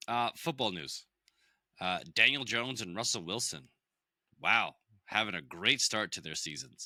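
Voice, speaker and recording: In a very clean recording with a silent background, a man with a fairly low pitch and vocal fry talks at a moderate pace, his intonation lively, his loudness swinging widely, and his pauses long and frequent. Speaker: podcast host. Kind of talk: casual chat. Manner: casual.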